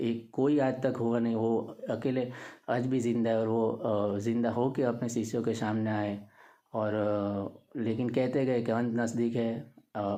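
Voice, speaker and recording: A man's dark, mellow voice at medium pitch, monotone and flat, with audible room echo and very even loudness. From Gujarat, India. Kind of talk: casual talk to camera. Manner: halting, many fillers.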